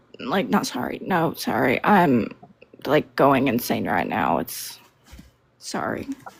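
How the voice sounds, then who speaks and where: A woman talks at a fairly slow pace. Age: 60s. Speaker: caller. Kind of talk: call-in conversation.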